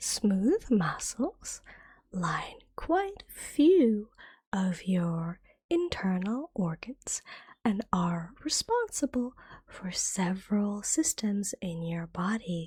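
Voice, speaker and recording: The speaker is soft-spoken and talks at a very slow pace. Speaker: ASMR vtuber. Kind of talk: ASMR educational lesson.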